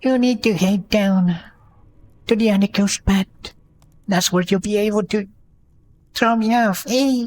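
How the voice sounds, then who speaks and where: A man puts on a character voice with a high pitch at a moderate pace. He leaves long, frequent pauses. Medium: game stream.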